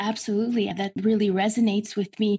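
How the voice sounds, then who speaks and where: A woman's medium-pitched, somewhat breathy voice with a dark, mellow tone, at a fairly quick pace. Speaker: podcast host. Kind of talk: scripted intro and interview questions.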